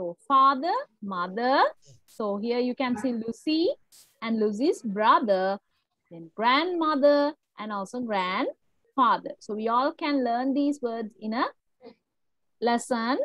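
A woman with a high pitch talks at a very slow pace with lively intonation and big swings in loudness. The sound is dry with no echo over a quiet background. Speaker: English teacher. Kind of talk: lecture. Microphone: video call.

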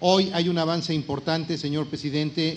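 With fairly even intonation, a man talks at a fairly quick pace. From Mexico. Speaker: politician. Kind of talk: public speech. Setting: public event with audience. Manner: formal. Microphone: podium.

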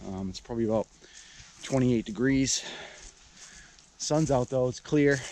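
A man talks at a moderate pace, with light noise audible in the background. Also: dry sound with no echo. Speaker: vlogger. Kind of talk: casual vlog chat. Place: forest. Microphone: phone near.

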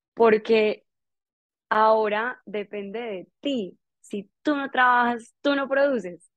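Speaking at a very slow pace against a quiet background, a woman has a fairly high pitch, ordinary pitch variation and big swings in loudness. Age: 20s. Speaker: entrepreneur; guest. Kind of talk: motivational talk. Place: home room. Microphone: earbuds.

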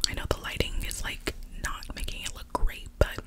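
At a moderate pace, a woman speaks in a whisper. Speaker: makeup roleplay host. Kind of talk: casual roleplay chat to viewer. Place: home room. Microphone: earbuds.

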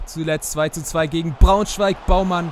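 Fairly slow speech comes through noticeable background noise. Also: man. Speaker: YouTuber gaming channel host. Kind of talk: sports commentary over FIFA game highlights. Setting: voiceover recorded for a video.

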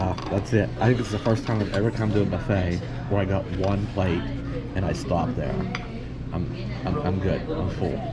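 A man talks at a moderate pace, leaving long, frequent pauses. Loud background noise runs underneath. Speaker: travel vlogger. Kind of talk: casual vlog chat. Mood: relaxed, jokey. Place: cafe. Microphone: phone near.

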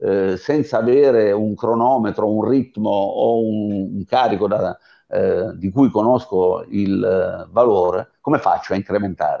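In an unremarkable speaking voice, a man talks at a fairly slow pace with fairly low pitch and ordinary pitch variation against a quiet background. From Abruzzo, Italy. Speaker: sports scientist and fitness coach; fitness coach. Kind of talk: webinar lecture. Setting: online video webinar. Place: home room. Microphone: earbuds.

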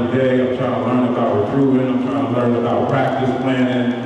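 A man's voice comes through strong room echo and noticeable background noise. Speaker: basketball coach presenter. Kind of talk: clinic presentation talk. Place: hall.

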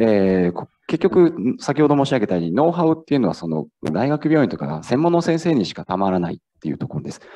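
A fairly quick man with a dark, mellow tone and very wide pitch swings, against a quiet background. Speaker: startup founder, former hospital pharmacist; presenter. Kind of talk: startup pitch. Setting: stage with audience. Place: hall.

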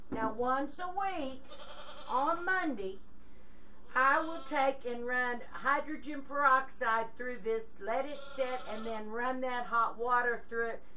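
Light background noise sits behind a woman's high-pitched voice. She speaks at a fairly slow pace with ordinary pitch variation. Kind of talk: tutorial. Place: farm machine. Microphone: camera far.

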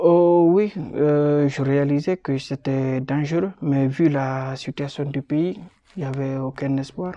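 The tone is dark and mellow, with fairly even intonation and a very slow pace. The sound is dry with no echo, over a quiet background. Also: man, fairly high pitch for a man. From Guinea. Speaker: refugee, student; interviewee. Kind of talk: testimony. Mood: calm, serious recounting hardship. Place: office. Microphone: phone near.

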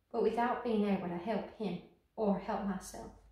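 There is audible room echo but a quiet background as a woman speaks at a moderate pace. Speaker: actress. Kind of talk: dramatic monologue performance, grief-stricken theatrical confession. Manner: haunted and halting, building from hushed remembrance to horrified climax; broken repetitions and anguished pauses, slipping into a brittle laugh. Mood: wistful, grieving. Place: studio.

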